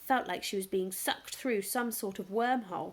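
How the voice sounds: a reading voice that sounds natural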